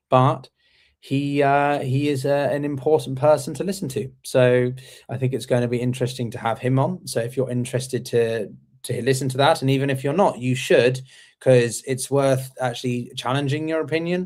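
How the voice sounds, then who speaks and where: On a very clean recording with a silent background, a man with an English accent talks at a moderate pace and medium pitch, his intonation fairly even. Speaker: interview show host. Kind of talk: casual chat. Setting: live stream. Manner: halting, many fillers.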